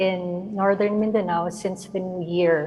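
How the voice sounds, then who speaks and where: Soft-spoken and at a fairly slow pace, a woman with a Filipino accent talks with fairly even intonation. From Philippines. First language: Filipino language. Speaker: visual artist and filmmaker. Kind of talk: artist presentation.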